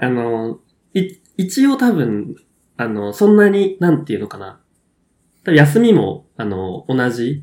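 A man with a fairly high voice speaks at a fairly slow pace, taking long, frequent pauses, his pitch swinging very widely and his loudness shifting a lot. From Kyushu, Japan. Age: 20s. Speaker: podcast co-host. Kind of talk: casual chat.

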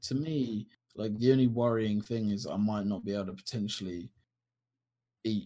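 Fairly quick speech in a dark, mellow tone comes with a southern English accent. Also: man. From Kent, England. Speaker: podcast co-host. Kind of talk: casual chat.

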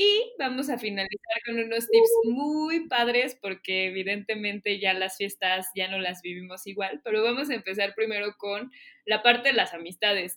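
With an ordinary speaking voice, a woman talks at a moderate pace and fairly high pitch, with ordinary pitch variation. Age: 30s. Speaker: podcast host. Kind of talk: casual chat.

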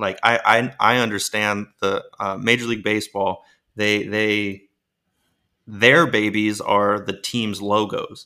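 The voice has a bright, sharp tone and an American accent, moving at a moderate pace. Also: man. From Maryland, US. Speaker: professional baseball player and NFT creator. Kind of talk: podcast interview. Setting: remote guest line.

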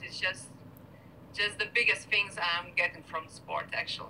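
A woman with a Lithuanian accent and ordinary pitch variation. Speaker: beach volleyball player. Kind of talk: casual interview chat. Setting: video call.

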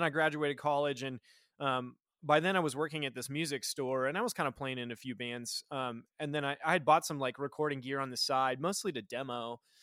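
In an American accent, a man talks fairly quickly with a bright, sharp tone, captured on a very clean recording with a silent background and a dry, close sound without echo. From Nebraska. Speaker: recording engineer. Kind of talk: casual chat.

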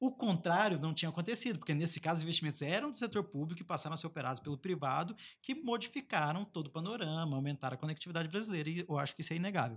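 In a high pitch and with lively intonation, a man rattles along at a very fast pace with hardly any pauses. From Brazil, Baixada Fluminense (Rio de Janeiro). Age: 30s. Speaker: digital innovation advocate, former government official. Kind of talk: casual podcast interview.

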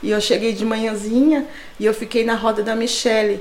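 Through noticeable background noise and audible room echo, a woman speaks at a fairly high pitch. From São Paulo, Brazil. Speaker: church member sharing testimony. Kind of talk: testimony.

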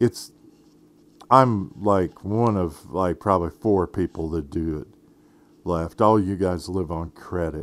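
A man speaks with a very deep, low pitch and ordinary pitch variation. His pace is fairly slow. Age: 50s. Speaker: podcast host. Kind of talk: casual monologue. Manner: halting, many fillers.

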